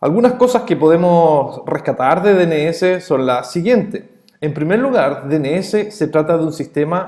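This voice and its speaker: Speaking at a fairly slow pace with a Chilean accent, a man uses lively intonation. His voice is high in pitch. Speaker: networking instructor. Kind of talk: lecture. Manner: hesitant fillers.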